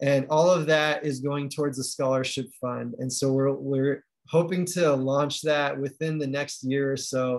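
A man talks at a fairly slow pace, pitched fairly high. He has a plain, everyday voice. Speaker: medical student and book co-editor. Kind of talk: presentation. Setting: video call.

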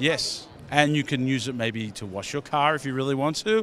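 A man with a slight Australian accent speaks at a medium pitch with ordinary pitch variation, the sound dry with no echo and light background noise behind him. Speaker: beauty product company founder; product creator. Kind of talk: trade show interview. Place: hall. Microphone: handheld.

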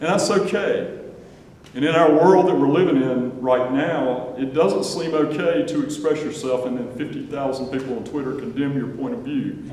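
With audible room echo and light background noise, a man talks at a moderate pace with ordinary pitch variation. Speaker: university official introducing a panel. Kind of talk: welcoming speech. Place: hall. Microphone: camera far.

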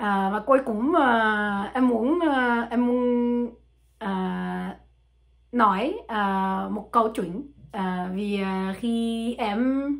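A woman with a French accent at a very slow pace, her fairly high voice showing ordinary pitch variation against a quiet background. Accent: French-accented learner Vietnamese. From France. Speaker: language learner. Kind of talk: casual talk to camera. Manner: hesitant, many fillers. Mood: relaxed, smiling. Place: home room. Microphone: phone near.

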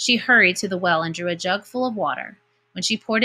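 The clip has a natural reading voice set against a quiet background.

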